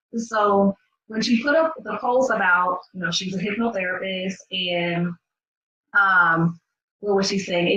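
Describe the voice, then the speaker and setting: Using ordinary pitch variation, a medium-pitched woman speaks at a moderate pace with an American accent. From US, New York then North Carolina; Barbadian family. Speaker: business coach. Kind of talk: casual vlog. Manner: conversational, filler-heavy.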